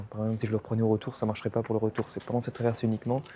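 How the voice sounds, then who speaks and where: A soft-spoken man talks at a medium pitch. His tone is dark and mellow. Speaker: travel vlogger. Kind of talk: casual vlog narration. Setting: lounge aboard a ferry.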